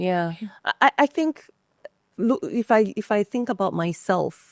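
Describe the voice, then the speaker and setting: In a normal speaking voice, a woman of medium pitch talks at a fairly slow pace with lively intonation, the sound dry and close with no echo. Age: 40s. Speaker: podcast host. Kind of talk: casual chat.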